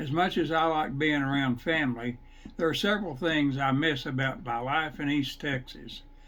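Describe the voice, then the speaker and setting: A man with a fairly high pitch, in audible room echo. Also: ordinary pitch variation, moderate pace. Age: 70s. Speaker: retired home gardener. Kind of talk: scripted narration.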